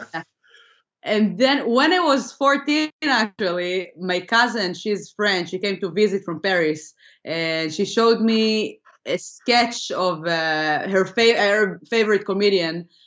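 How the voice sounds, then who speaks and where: A medium-pitched woman's voice with an Israeli accent, fairly slow in pace, with lively intonation. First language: Hebrew. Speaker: comedian. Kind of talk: interview.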